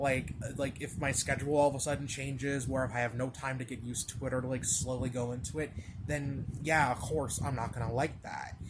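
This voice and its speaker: A man at medium pitch speaks at a fairly quick pace. His delivery is a flat monotone. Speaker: video blogger. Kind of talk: casual monologue. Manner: halting, filler-heavy.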